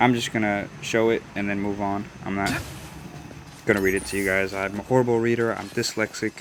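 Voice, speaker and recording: A man with an American accent talks at a fairly quick pace in a fairly low pitch. His intonation is flat and monotone, and there is noticeable background noise. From Des Moines, Iowa. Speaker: gaming YouTuber. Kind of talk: gameplay voice-over commentary. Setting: recorded voice-over away from home. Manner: casual, hesitant with fillers.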